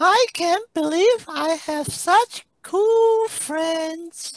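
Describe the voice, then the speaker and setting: A squeaky, put-on character voice at an extremely high pitch drawls along at a very slow pace. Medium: read story. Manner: sighing, self-doubting.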